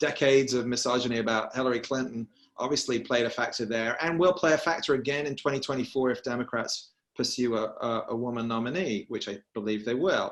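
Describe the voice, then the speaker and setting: This man has a medium pitch and a British accent, and he talks very fast. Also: ordinary pitch variation. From England, Birmingham. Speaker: political journalist. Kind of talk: panel discussion.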